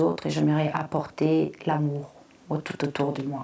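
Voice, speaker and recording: A woman's very deep, low voice, dark and mellow, with vocal fry at a moderate pace. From Congo, then Flanders, Belgium. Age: 30s. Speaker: content creator. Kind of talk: personal testimony. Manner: halting, many fillers.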